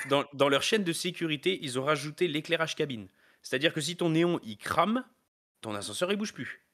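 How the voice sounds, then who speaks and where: Recorded very cleanly against a silent background, a man with a plain, everyday voice talks at a fairly quick pace and fairly high pitch with lively intonation. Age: 30s. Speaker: elevator maintenance technician. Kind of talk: interview. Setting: live stream.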